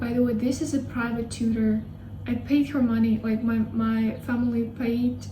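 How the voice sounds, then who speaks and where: A woman with a Russian accent at a moderate pace, with audible room echo and noticeable background noise. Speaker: language learning YouTuber. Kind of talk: casual vlog talk. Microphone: poor sound quality.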